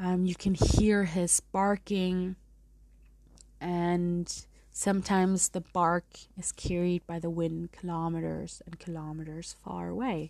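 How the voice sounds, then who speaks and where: Speaking with a German accent, a woman uses a fairly low pitch, a dark, mellow tone, and monotone, flat intonation at a very slow pace. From Munich, Germany. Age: 20s. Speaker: podcast host. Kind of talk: casual storytelling monologue. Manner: casual, chatty.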